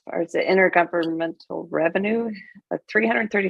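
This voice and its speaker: A woman speaks in a normal speaking voice at a fairly quick pace with ordinary pitch variation, the sound dry and close with no echo. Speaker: city finance staff presenting budget. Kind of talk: public meeting budget presentation.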